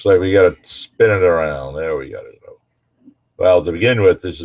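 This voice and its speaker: At a moderate pace, a man with a very deep, low pitch talks with ordinary pitch variation and big swings in loudness. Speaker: navy veteran showing a shell ashtray. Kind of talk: casual show-and-tell video.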